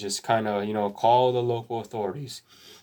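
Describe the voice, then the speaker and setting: A man talks at medium pitch with an American accent. His intonation stays fairly even. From Texas. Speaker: gun owner YouTuber. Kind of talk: casual safety explainer monologue. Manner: casual, halting with repetitions.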